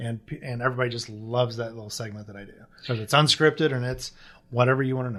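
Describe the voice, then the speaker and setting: An American-accented man talks very fast at a medium pitch. His intonation is fairly even, while his loudness swings widely. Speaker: pest control business owner. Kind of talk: casual interview chat.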